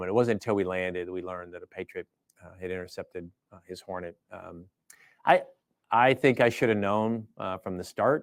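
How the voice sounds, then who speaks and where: A man with an American accent speaks at a very deep, low pitch with big swings in loudness, recorded very cleanly against a silent background with a dry, close sound and no echo. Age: 50s. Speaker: air force general, fighter pilot. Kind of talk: interview conversation. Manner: halting with many fillers.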